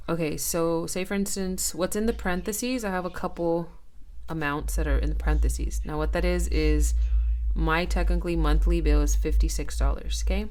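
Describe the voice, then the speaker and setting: A woman with an American accent at a fairly quick pace, with audible room echo. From California. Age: 30s. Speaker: budgeting vlogger. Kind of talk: casual tutorial. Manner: hesitant, with fillers.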